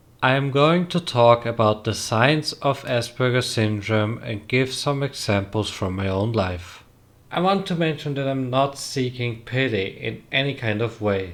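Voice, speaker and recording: On a very clean recording with a silent background, a man with a non-native accent speaks at a fairly slow pace and medium pitch with lively intonation. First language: not English. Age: young. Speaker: trainee. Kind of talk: casual talk to camera.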